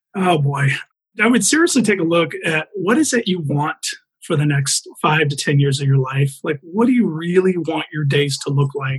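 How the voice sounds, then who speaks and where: A man has a plain, everyday voice with an American accent and a fairly high pitch. He keeps a moderate pace with ordinary pitch variation. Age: 40s. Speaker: franchise owner and real estate investor. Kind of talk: interview.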